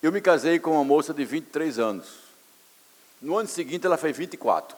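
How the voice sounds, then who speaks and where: A man's voice at very fast pace, fairly high in pitch, with ordinary pitch variation. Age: 60s. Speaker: pastor. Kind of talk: sermon. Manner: animated.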